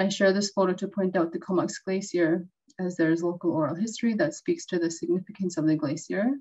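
A woman's medium-pitched voice, dark and mellow, with fairly even intonation over a quiet background. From Western Arctic Canada. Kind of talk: webinar presentation. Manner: formal. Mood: calm, earnest. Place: home room. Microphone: webcam.

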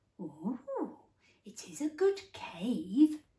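A woman's put-on character voice at a high pitch, warm and gentle in tone, with audible echo. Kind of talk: bedtime story. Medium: read story. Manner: warm, gentle. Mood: warm, approving.

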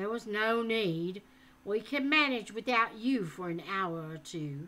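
A woman's gruff, put-on character voice at medium pitch and a fairly slow pace. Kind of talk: reading aloud a book with character voices. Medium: read story. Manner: gruff, bantering. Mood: reassuring.

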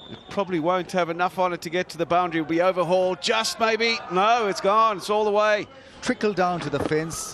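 Over noticeable background noise, a man talks at a high pitch and fairly quick pace. His intonation stays fairly even. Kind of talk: live cricket commentary. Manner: rising, celebratory tone at milestones.

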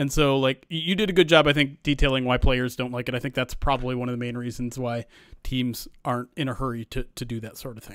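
Speaking at a very fast pace, a man shows ordinary pitch variation and big swings in loudness. The sound is dry with no echo over a quiet background. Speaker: producer and podcast host; podcast host. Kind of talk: casual chat. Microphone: studio mic.

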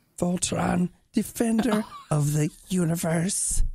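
A put-on character voice, female-sounding and fairly low in pitch, at a fairly slow pace

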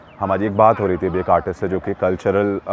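Fairly quick speech from a man with fairly low pitch, in a dry sound with no echo and light background noise. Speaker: video reporter. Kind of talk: commentary. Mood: thoughtful, concerned. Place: street.

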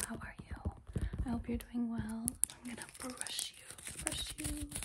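Loud background noise surrounds a woman who talks very slowly. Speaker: ASMR creator. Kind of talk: ASMR soft-spoken talk to camera. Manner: soft-spoken. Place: home room. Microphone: phone near.

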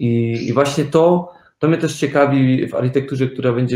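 A man talks in a somewhat breathy voice, with the room's echo audible. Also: quiet background. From Germany. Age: young. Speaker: architect; guest. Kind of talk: interview. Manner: hesitant, with fillers. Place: home room.

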